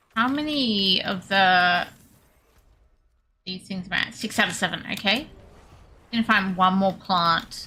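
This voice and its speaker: A woman with an Australian accent talks at a fairly slow pace, leaving long, frequent pauses. Her tone is bright and sharp, her pitch is medium, and her pitch variation is ordinary. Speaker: video game streamer. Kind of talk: live gameplay stream chat. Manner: casual, chatty.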